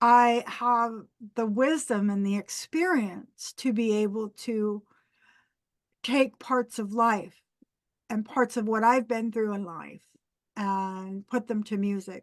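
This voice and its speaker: A woman's fairly high voice at a very slow pace, broken by long, frequent pauses. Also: ordinary pitch variation, quiet background. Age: 60s. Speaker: pagan musician. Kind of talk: interview.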